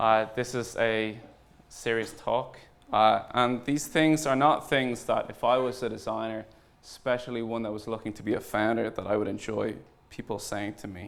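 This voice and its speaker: Over audible room echo, a man with an Irish accent speaks in a medium pitch with big swings in loudness. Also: fairly even intonation, moderate pace. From Ireland. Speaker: startup founder and CEO. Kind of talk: conference talk. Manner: hesitant, many fillers.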